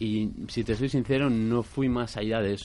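At a moderate pace, a man talks in a plain, everyday voice at a medium pitch. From Basque Country. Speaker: actor. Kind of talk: interview. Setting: studio.

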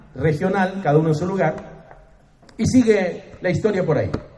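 Audible room echo surrounds a man speaking at a fairly quick pace. His pitch varies in an ordinary way. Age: 60s. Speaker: pastor. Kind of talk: sermon.

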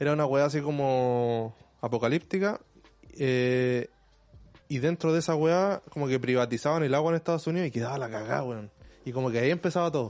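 A man talks at a fairly quick pace in a Chilean accent. His pitch is fairly high. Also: ordinary pitch variation. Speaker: podcast co-host. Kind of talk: casual chat.

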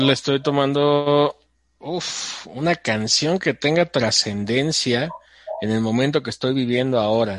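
A man with a Mexican accent speaks at a fairly slow pace in a medium pitch with ordinary pitch variation. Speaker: podcast guest and show's voice-over announcer. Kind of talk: casual chat.

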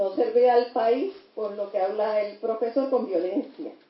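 At a very slow pace, a woman with a high pitch speaks with lively intonation. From Puerto Rico. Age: 60s. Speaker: lawyer and teacher. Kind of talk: audience comment.

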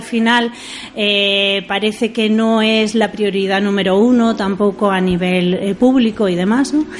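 A woman talks at a fairly slow pace with a fairly high pitch. Her pitch varies in an ordinary way, and noticeable background noise is present. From Asturias, Spain (Oviedo). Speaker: orchestra manager. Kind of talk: radio interview.

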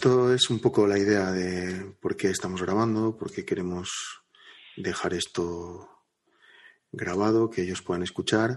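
A man's unremarkable speaking voice, fairly low in pitch, at a fairly slow pace with fairly even intonation over a quiet background. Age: 30s. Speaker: podcast co-host. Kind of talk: casual chat.

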